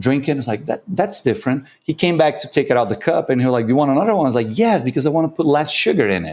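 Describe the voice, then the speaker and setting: A man with a Brazilian Portuguese accent, a fairly high pitch, lively intonation and a very fast pace. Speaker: coffee competition judge and consultant. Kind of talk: podcast interview.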